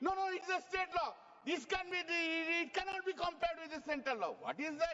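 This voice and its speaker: A man speaks with an extremely high pitch. His tone is animated. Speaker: member of parliament and senior lawyer. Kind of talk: parliamentary speech. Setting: parliament chamber. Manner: fast.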